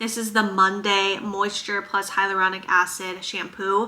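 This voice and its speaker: Over noticeable background noise, the speaker sounds animated, with a slight Minnesotan accent. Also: woman. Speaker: chiropractor and vlogger. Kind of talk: casual Q&A vlog.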